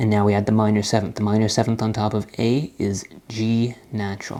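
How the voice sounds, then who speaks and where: Dark and mellow in tone, a man's fairly low voice moves at a moderate pace with monotone, flat intonation. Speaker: music theory teacher. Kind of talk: tutorial.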